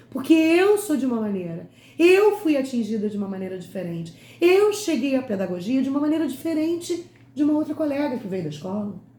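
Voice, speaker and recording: A woman's high voice with very wide pitch swings at a fairly quick pace, with audible room echo. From Rio de Janeiro state, Brazil (Itaguaí, Nova Iguaçu). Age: 50s. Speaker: educator and lecturer. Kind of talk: lecture. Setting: online talk.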